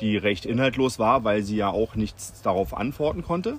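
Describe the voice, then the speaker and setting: A man talks at a moderate pace with lively intonation and a medium pitch. Noticeable background noise can be heard. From Berlin, Germany. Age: 40s. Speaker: local resident and petition initiator. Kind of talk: interview. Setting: recorded while on holiday in Sardinia.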